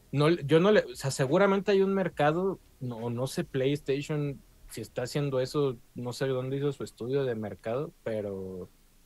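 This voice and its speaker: A man with a Mexican accent speaks at a fairly high pitch with lively intonation. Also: moderate pace. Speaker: video game podcast host. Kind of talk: casual chat.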